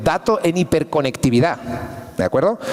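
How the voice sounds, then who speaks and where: A man with a European Spanish accent, against noticeable background noise. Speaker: engineer and conference speaker. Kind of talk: conference talk. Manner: fast.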